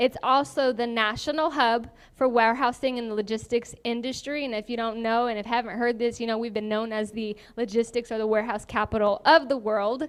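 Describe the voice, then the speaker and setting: A woman talks at a fairly quick pace on a very clean recording with a silent background. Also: fairly even intonation. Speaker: forum moderator. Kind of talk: moderating a candidate forum. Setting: event hall with live audience, shared mics. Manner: fast.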